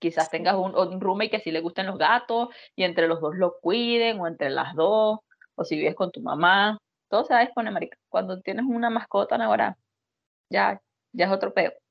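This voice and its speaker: This woman speaks with a Venezuelan accent. Her intonation is lively. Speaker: podcast co-host. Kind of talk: casual chat.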